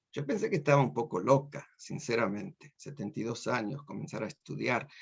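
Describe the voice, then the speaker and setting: With a Rioplatense accent, a man speaks at a moderate pace, using lively intonation and vocal fry. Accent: Argentine Spanish (rioplatense). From Argentina (Córdoba, Buenos Aires suburbs). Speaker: university professor. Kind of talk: lecture. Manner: animated.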